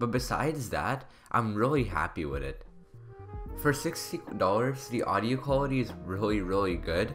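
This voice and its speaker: Faint music plays behind a man who speaks at a moderate pace in a fairly low pitch. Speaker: tech reviewer. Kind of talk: product review voice-over. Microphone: studio mic.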